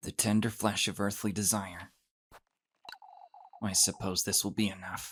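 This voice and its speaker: Putting on a character voice, a man speaks in a raspy, fairly low, flat monotone at a moderate pace, broken by long, frequent pauses. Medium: video game. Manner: guarded, low asides.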